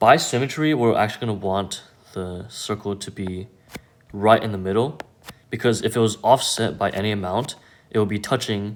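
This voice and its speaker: A man with an unremarkable speaking voice talks at a moderate pace, his fairly low pitch showing ordinary variation. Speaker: math tutor. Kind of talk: tutorial.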